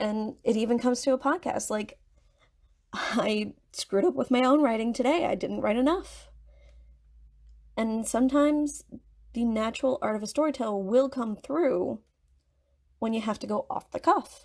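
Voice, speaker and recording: At a moderate pace, a woman with a high pitch and ordinary pitch variation talks with long, frequent pauses. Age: 20s. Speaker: podcast host, writer. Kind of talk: casual monologue podcast. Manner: halting, with pauses and backtracking; off-the-cuff rambling.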